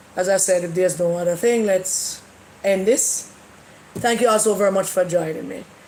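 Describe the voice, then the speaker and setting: Noticeable background noise sits under this recording. A woman speaks with fairly even intonation. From Jamaica. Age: 70s. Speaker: livestream host. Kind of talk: casual livestream chat.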